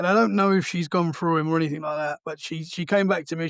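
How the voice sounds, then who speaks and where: In an Essex accent, a man talks at a fairly quick pace and a high pitch, the sound dry and close with no echo on a very clean recording with a silent background. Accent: southern English (Essex). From Essex, England. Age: 30s. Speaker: podcast host. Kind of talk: casual chat. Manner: halting.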